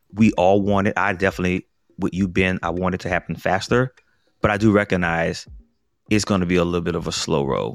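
A man with an American accent talks at a very fast pace in a very deep, low pitch with fairly even intonation, the sound dry and close with no echo and music in the background. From US South, New Orleans. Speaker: podcast host. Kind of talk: casual chat.

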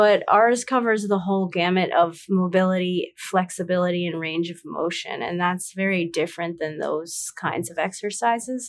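Here a woman speaks in an ordinary speaking voice at a medium pitch and moderate pace. She has ordinary pitch variation and hardly any pauses. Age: 30s. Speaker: startup co-founder. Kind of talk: interview.

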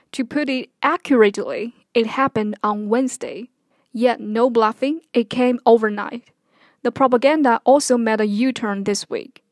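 A woman with a Chinese accent speaks at a moderate pace in a fairly high voice with ordinary pitch variation, recorded very cleanly with a silent background and a dry, close sound with no echo. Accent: Mandarin Chinese. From China (Henan). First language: Mandarin Chinese. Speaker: podcaster. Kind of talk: personal commentary monologue.

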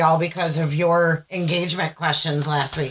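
Speaking in an American accent, a woman with a bright, sharp tone and fairly low pitch talks at a moderate pace. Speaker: podcast co-host. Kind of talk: casual chat. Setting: video recording at home.

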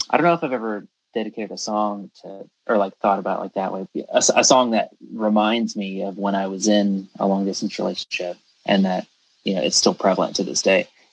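Talking at a fairly quick pace, a man with an American accent and an unremarkable speaking voice uses a fairly low pitch with ordinary pitch variation, in a dry, close sound with no echo. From US South, Georgia (Statesboro). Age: 20s. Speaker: drummer. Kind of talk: casual chat.

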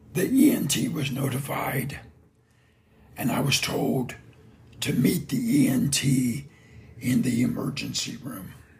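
In an American accent, the speaker talks at a very slow pace with ordinary pitch variation and long, frequent pauses over noticeable background noise. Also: man, fairly high pitch for a man. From Indiana, US. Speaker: lawn care business owner, podcaster. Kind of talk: scripted personal story, solo podcast.

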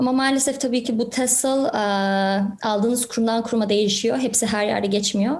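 In a room with audible echo, a somewhat breathy woman speaks with ordinary pitch variation. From Canada (Toronto), from primary school. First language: English-dominant (Turkish heritage) (speaking Turkish). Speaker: real estate agent and entrepreneur. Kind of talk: podcast interview.

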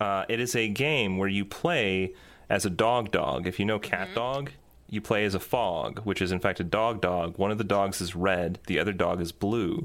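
A man's fairly low, moderately paced voice with ordinary pitch variation, an ordinary speaking voice. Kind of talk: casual chat. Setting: video call.

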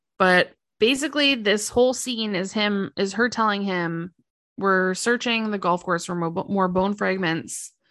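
A woman's normal speaking voice at a medium pitch, fairly slow, with ordinary pitch variation against a quiet background. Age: 30s. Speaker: podcast co-host. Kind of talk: casual chat.

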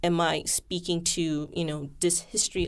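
Vocal fry at a moderate pace with fairly even intonation, in a very clean recording with a silent background. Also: woman. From Malaysia. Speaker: scholar and editor. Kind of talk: casual interview.

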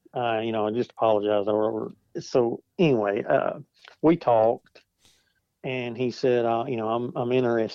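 A man talks in a normal speaking voice at a medium pitch. His intonation is fairly even and his pace moderate. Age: 40s. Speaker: outdoor product design engineer. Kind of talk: casual interview chat.

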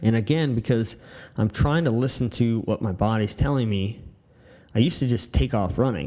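A man speaks in an unremarkable speaking voice at a medium pitch. His pitch variation is ordinary and his pace moderate. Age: 30s. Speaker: military veteran and shooting instructor podcast host. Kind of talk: casual monologue.

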